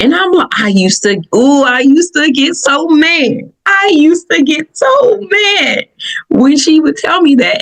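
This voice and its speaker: In a Southern US accent, the speaker's pitch swings very widely. The tone is animated. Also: woman. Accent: Southern, country. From Michigan, US (Southern family roots). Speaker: podcast host. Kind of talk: personal reflective podcast talk. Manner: animated storytelling; casual, conversational.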